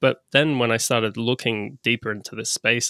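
A man's bright, sharp voice with an Australian accent, fairly even intonation and a moderate pace, dry and close with no echo, in a very clean recording with a silent background. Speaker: e-commerce business broker. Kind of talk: podcast interview.

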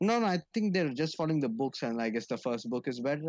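Very fast speech in an Indian accent, with very wide pitch swings and a quiet background. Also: man. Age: 20s. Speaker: podcast co-host. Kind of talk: casual chat.

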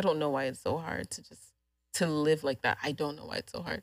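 A woman with a very deep, low pitch talks on a very clean recording, the background silent. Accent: American. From Houston, Texas. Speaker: photographer. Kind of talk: casual chat.

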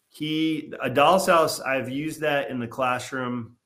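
The delivery is very slow. It carries an American accent. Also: man. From Massachusetts, Boston area. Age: 50s. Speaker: author and high school English teacher. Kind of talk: interview.

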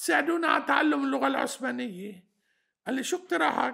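A man projects a raised, bright and sharp voice at an extremely high pitch, with very wide pitch swings and a moderate pace. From Lebanon, Batroun area. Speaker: historian. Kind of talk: interview. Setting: mountain village home.

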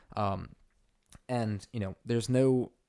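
A man's tone is dark and mellow. The recording is very clean, and the background is silent. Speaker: fitness podcast co-host. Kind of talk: casual chat. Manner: loud; hesitant, many fillers.

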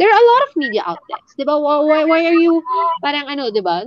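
A woman speaks fairly quickly. Behind her, music plays. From Philippines. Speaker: brand strategist. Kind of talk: casual chat. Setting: video call.

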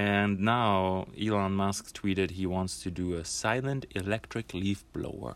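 In a very clean recording with a silent background, a man with a German accent talks at a fairly slow pace in a fairly low pitch, with hardly any pauses. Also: ordinary pitch variation. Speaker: podcast co-host. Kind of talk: casual chat.

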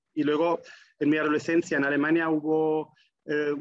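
A man with a German accent speaks in a fairly high voice with monotone, flat intonation. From Germany. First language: German (speaking Spanish). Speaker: forestry association professional. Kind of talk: interview.

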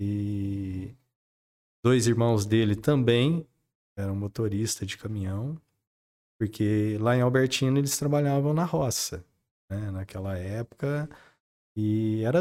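At a very slow pace, the voice has a dark, mellow tone and ordinary pitch variation on a very clean recording with a silent background. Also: man. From Brazil, São Paulo state interior. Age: 50s. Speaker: car dealer. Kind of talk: interview.

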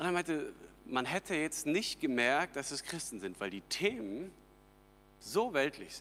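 A man's bright, sharp voice moves at a fairly slow pace, with very wide pitch swings, big swings in loudness, vocal fry, and long, frequent pauses. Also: fairly high pitch for a man. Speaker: pastor. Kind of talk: sermon.

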